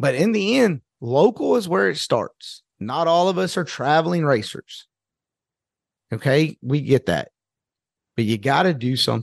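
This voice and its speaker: Against a quiet background, a man with vocal fry and a fairly high pitch speaks in an animated tone with very wide pitch swings and long, frequent pauses, the sound dry and close with no echo. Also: fairly slow pace. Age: 50s. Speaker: podcast host. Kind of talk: solo casual monologue.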